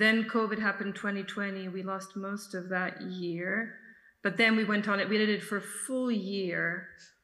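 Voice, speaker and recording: The voice is bright and sharp, flat and monotone at a moderate pace, with audible room echo. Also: woman, medium pitch for a woman. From Serbia (Belgrade). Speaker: film director and editor. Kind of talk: festival Q&A. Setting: video call.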